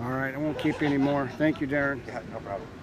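A man speaks over noticeable background noise. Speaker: off-road vehicle video host. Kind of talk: casual on-location interviews. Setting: outdoors at a racing facility. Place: open country. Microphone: phone near.

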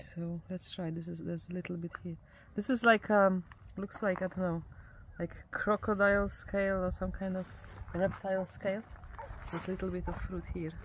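Over light background noise, a woman with a somewhat breathy voice speaks at a moderate pace in a monotone, flat way, leaving long, frequent pauses, and the sound is dry with no echo. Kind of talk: casual vlog chat. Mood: curious, cheerful. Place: open country.

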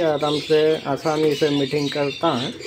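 A man's fairly high voice with clear background noise.

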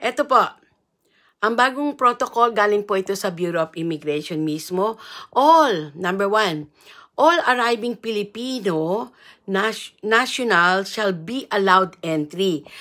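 A woman talks at a fairly slow pace with a bright, sharp tone and lively intonation over a quiet background. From Philippines. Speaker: vlogger and marriage consultant; livestream host. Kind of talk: live stream reading rules aloud. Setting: live video at in-laws' home. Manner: informal, halting. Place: home room. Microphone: earbuds.

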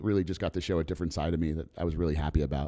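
Over a quiet background, a man with a dark, mellow tone keeps his intonation fairly even. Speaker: actor. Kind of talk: interview. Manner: casual. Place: hall. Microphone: handheld.

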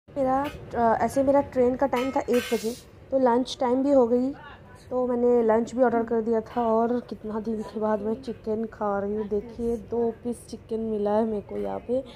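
The woman talks at a fairly slow pace. There is light background noise behind her. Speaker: travel vlogger. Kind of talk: casual vlog chat. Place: train. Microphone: phone near.

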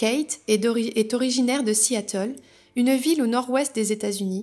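Pitch variation stays ordinary while the pace holds moderate. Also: woman. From France, raised in countryside near Paris. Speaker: novelist and spiritual guidance youtuber; spiritual guidance youtuber. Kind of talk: reading aloud. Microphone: phone near.

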